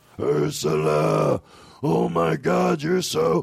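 A man uses a put-on character voice with a very deep, low pitch and a very slow pace. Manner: exaggerated, silly, ridiculous.

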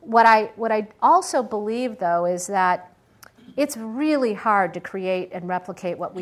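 Here a woman with an unremarkable speaking voice talks at medium pitch with ordinary pitch variation and a fairly slow pace. The recording is very clean, with a silent background. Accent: American. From Michigan, US Midwest. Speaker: venture capitalist and former tech CEO. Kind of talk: guest talk with audience Q&A. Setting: lecture hall with live audience.

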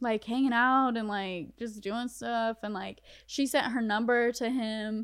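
A woman talks in a plain, everyday voice at a fairly high pitch and a fairly slow pace. Her intonation is fairly even, and the recording is very clean, with a silent background. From North Carolina. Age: 20s. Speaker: social media creator. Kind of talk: casual chat.

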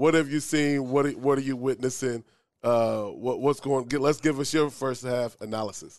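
A man speaks in a normal speaking voice at a medium pitch with fairly even intonation over a quiet background. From Omaha, Nebraska. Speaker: podcast host. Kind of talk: casual interview.

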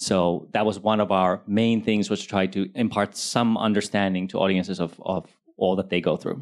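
A man with a plain, everyday voice speaks at fairly low pitch and a moderate pace, with fairly even intonation and very even loudness. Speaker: TV producer panelist. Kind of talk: panel discussion. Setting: stage with audience.

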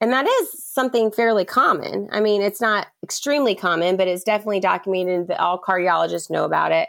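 A woman with an American accent at a very fast pace, medium pitch, ordinary pitch variation and very even loudness. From US South, Charleston, South Carolina. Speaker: physician assistant. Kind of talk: personal testimony in interview.

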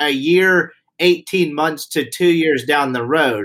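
A man talks with a Southern US accent. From Mississippi. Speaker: podcast co-host. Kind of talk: casual podcast chat.

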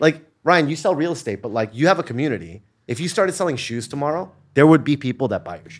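On a very clean recording with a silent background, a man with an American accent talks at a very fast pace, lively in intonation and with vocal fry. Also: fairly high pitch for a man, big swings in loudness. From Los Angeles. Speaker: digital media entrepreneur. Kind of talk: casual chat.

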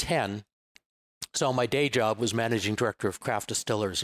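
Dry, close sound with no echo captures a man with an unremarkable speaking voice. He talks at a fairly quick pace with a medium pitch and fairly even intonation. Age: 60s. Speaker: whisky company co-founder and blender. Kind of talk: casual interview chat. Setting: bar interview.

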